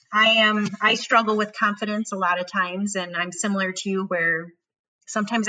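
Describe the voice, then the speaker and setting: In a Wisconsin accent, a woman speaks with a bright, sharp tone. Her pace is fairly quick and her intonation fairly even. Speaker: podcast host. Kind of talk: casual chat.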